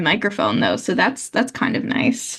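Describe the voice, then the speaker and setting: Vocal fry with ordinary pitch variation. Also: woman. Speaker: podcast co-host. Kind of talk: casual chat. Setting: video call.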